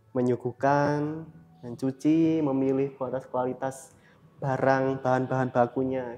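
The man speaks at a fairly slow pace. His intonation is monotone and flat. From Blitar, East Java, Indonesia; East Java, Indonesia. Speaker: coffee shop owner; guest. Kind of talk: casual interview chat. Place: cafe. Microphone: lapel.

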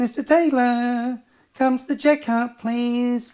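A put-on, female-sounding character voice speaks very slowly at a high pitch. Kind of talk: polite, formulaic announcement.

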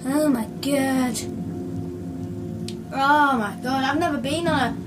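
A woman at a very slow pace, with clear music in the background. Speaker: gamer. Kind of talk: casual gameplay commentary. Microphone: phone near.

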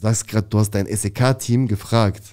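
A man's dark, mellow tone against a quiet background. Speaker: former prisoner. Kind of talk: casual interview storytelling. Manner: fast. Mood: animated storytelling. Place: studio. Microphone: studio mic.

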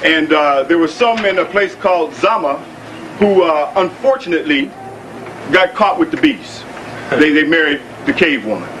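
With light background noise behind him, a man with a high pitch speaks at a moderate pace and leaves long, frequent pauses. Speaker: lecture assistant. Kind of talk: lecture. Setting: stage with audience. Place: hall. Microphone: old recording.

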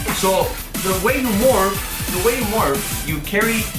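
A man's voice with clear music in the background. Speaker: YouTuber. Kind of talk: casual vlog chat. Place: kitchen. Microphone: camera far.

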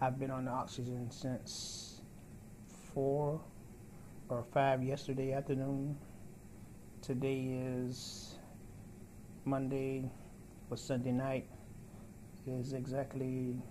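Very slow and somewhat breathy, the voice has a dark, mellow tone, monotone, flat intonation, and long, frequent pauses over noticeable background noise. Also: man. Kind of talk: casual vlog chat. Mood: grateful, hopeful. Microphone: phone near.

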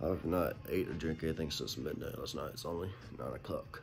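Clear music plays in the background as a man speaks at a very deep, low pitch. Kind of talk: casual vlog chat. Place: home room. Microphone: phone near.

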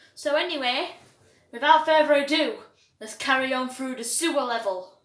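Her high-pitched voice shows ordinary pitch variation and big swings in loudness as a woman speaks amid audible room echo. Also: moderate pace. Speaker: gamer. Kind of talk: casual gaming commentary. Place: home room. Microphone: camera far.

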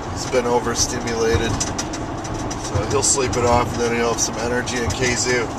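Loud background noise accompanies a man speaking at a moderate pace, the sound dry with no echo. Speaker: driver vlogger. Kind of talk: casual vlog chat. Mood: relaxed, cheerful. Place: car. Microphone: phone near.

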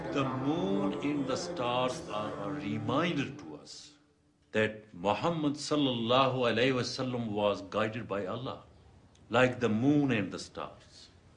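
Music plays in the background as the speaker talks at a fairly slow pace, with big swings in loudness and ordinary pitch variation. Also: man. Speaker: mosque teacher (acted role). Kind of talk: teaching a religious class. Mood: calm, gentle instruction. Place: church.

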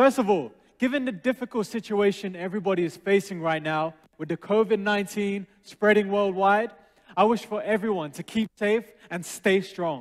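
Against a quiet background, a man talks at a high pitch with ordinary pitch variation. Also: moderate pace. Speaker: presenter. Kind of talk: presentation. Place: stage. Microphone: headset.

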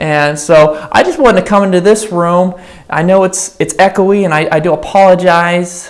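A man speaks in a high voice at a moderate pace. His intonation stays fairly even. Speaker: pastor. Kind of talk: church announcements before a sermon. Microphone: lapel.

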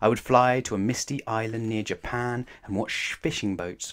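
A man's fairly low pitch at a moderate pace, with ordinary pitch variation

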